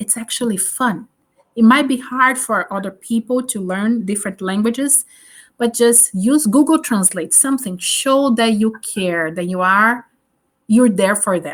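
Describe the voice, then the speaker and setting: In a Portuguese accent, a woman with a fairly high, somewhat breathy voice speaks at a fairly slow pace with ordinary pitch variation on a very clean recording with a silent background. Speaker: teacher. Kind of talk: interview.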